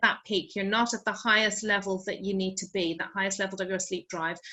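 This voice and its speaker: Speaking at a fairly quick pace, a woman talks with an Irish accent. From Ireland. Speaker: sleep expert. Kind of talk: online wellbeing talk. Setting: video call.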